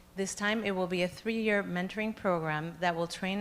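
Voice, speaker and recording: With a Spanish accent, a woman speaks at a fairly low pitch and with fairly even intonation. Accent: noticeable Spanish-language. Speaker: education foundation representative. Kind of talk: board meeting presentation. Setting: public board meeting.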